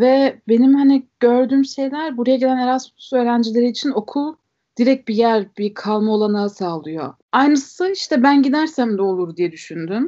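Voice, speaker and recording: Moderate pace and lively intonation, with a slight German accent. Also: woman. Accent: slight German melody in Turkish. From Germany. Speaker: podcast guest. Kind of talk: casual chat.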